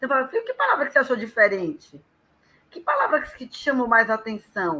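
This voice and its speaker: A woman talks at a fairly quick pace and a high pitch, her voice raised and projected. Her intonation is lively, with big swings in loudness. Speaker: professional storyteller. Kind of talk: casual live chat.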